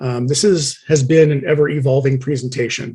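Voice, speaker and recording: A man's somewhat breathy voice, fairly high in pitch, with monotone, flat intonation. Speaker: Masonic lecturer. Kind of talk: lecture. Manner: fast.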